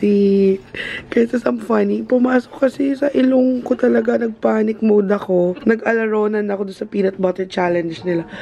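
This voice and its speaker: Noticeable background noise sits behind the voice. A woman speaks with lively intonation. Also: medium pitch for a woman, moderate pace. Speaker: beauty vlogger. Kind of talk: casual vlog chat.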